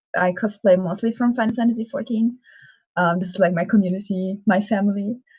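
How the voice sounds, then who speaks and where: A woman is speaking with fairly even intonation. Her voice is somewhat breathy. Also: medium pitch for a woman, fairly quick pace. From Germany. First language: German. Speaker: cosplayer. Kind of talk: interview. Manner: hesitant.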